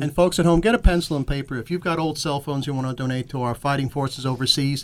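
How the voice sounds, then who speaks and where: Delivered at a very fast pace with ordinary pitch variation and an American accent, this voice comes through on a very clean recording with a silent background. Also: man. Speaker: radio talk show co-host. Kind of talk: broadcast presenter style. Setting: radio studio.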